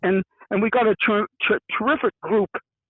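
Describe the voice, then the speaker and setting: The man's voice sits at a high pitch. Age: 70s. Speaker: environmental advocate, retired hiker. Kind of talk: interview. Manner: halting, repetitive.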